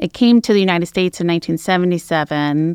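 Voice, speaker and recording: In a dry, close sound with no echo and a quiet background, a woman talks with an American accent. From California, San Francisco East Bay. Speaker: hospice executive. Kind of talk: radio interview. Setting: radio studio.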